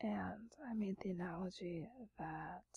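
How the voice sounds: A woman speaks at a fairly low pitch with vocal fry, a husky, rough edge and a dark, mellow tone.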